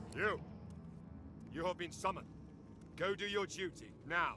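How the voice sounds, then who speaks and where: A man uses a put-on character voice with a high pitch at a moderate pace. Clear background noise is audible. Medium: video game. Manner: shouting, savage.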